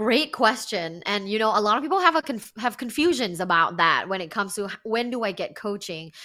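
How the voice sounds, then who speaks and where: A woman's fairly high voice in a Thai accent, bright and sharp in tone, with lively intonation at a moderate pace, on a very clean recording with a silent background. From Thailand, Bangkok. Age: 30s. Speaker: sex and relationship coach, podcaster. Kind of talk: interview.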